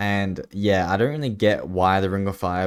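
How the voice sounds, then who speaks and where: A man's fairly low, mumbling voice at a moderate pace, in a very clean recording with a silent background. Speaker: gaming YouTuber. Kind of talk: gameplay commentary. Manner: casual, hesitant with fillers.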